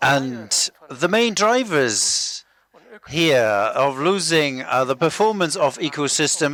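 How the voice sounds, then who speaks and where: Pitch swinging very widely, a man with an Israeli accent speaks fairly slowly in a fairly high voice. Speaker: biodiversity researcher. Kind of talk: lecture. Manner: halting.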